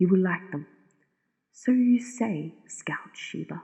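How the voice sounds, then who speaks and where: A woman talks at a fairly slow pace. Her voice is somewhat breathy. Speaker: narrator. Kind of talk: sleep story. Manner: whispered.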